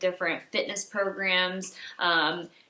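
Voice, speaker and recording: A woman speaks at a medium pitch in a monotone, flat intonation over noticeable background noise. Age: 20s. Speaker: holistic health coach. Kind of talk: casual talk to camera.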